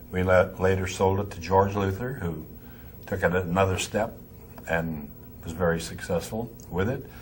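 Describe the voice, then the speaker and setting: Somewhat breathy, a man with an American accent speaks at a very deep, low pitch with fairly even intonation and audible room echo. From Pennsylvania, north of Pittsburgh. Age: 80s+. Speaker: music store owner. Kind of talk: interview. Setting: trade convention.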